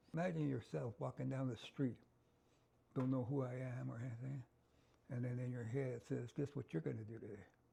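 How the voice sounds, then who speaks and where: A man speaks at a fairly quick pace, leaving long, frequent pauses. His medium-pitched voice is somewhat breathy, with a dark, mellow tone and ordinary pitch variation. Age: 70s. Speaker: bereaved father and liver transplant recipient. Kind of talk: interview testimony.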